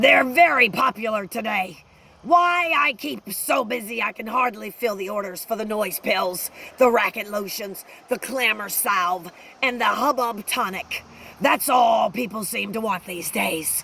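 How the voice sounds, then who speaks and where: A woman puts on a raspy character voice with fairly high pitch. She speaks at a moderate pace with lively intonation. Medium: read story. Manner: salesman-like, self-satisfied.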